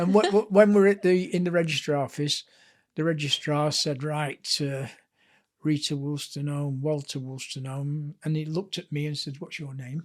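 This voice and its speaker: Talking at a moderate pace, a man with a Lancashire accent has a fairly high voice. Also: ordinary pitch variation. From northern England, Blackpool. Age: 70s. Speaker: author and sports historian. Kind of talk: casual interview chat.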